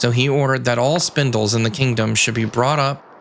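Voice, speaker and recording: This man keeps a moderate pace and fairly even intonation, with noticeable background noise present. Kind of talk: sleep story. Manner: soft-spoken.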